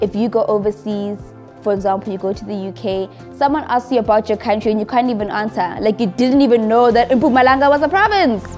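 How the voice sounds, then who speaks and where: With faint music in the background, a woman talks very fast with ordinary pitch variation. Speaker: travel vlogger. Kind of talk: interview answer. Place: home room. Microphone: lapel.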